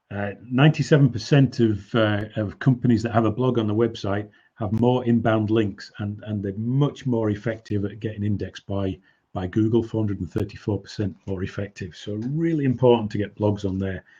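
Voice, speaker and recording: Fairly quick, somewhat breathy speech from a man with a fairly low pitch and ordinary pitch variation. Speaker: business coach. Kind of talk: webinar presentation. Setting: online webinar.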